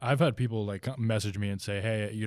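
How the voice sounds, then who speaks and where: A man with an American accent at a very fast pace, with fairly even intonation, on a very clean recording with a silent background. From New Jersey. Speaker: pro bodybuilder and supplement brand founder. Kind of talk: interview.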